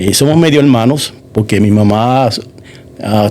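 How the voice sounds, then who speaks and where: The man speaks at a fairly slow pace in a medium pitch. His pitch varies in an ordinary way. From Puerto Rico, moved to Massachusetts at about 9. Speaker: church member giving testimony. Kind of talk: testimony interview. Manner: halting, many fillers.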